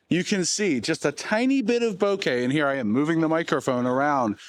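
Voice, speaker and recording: This man has a plain, everyday voice, fairly high in pitch, with lively intonation. He talks at a fairly quick pace. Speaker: tech youtuber. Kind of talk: product review vlog. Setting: outdoors and in a store. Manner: casual, chatty.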